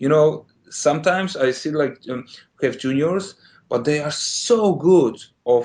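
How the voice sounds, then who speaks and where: With a Polish accent, a man talks fairly slowly at a fairly high pitch, his pitch moving in the ordinary way. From Poland. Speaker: game animator. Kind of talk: interview. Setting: podcast. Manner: halting.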